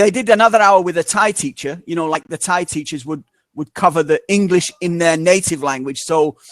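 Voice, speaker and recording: Fairly even intonation marks this man's high-pitched voice. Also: dry, close sound with no echo. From northern England, Manchester. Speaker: English teacher. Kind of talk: casual chat.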